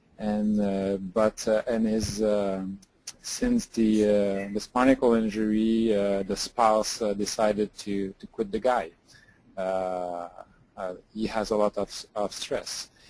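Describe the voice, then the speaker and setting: A man with a French accent speaks at a very slow pace, fairly low in pitch, in monotone, flat intonation. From France or French-speaking region. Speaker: rehab hospital clinician. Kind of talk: clinical case consultation. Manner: halting, many hesitations.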